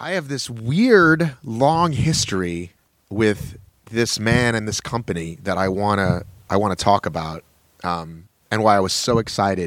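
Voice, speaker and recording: A man with an unremarkable speaking voice talks at a fairly low pitch and a fairly slow pace. His intonation is lively. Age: 50s. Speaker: podcast host. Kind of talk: casual interview chat. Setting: video call.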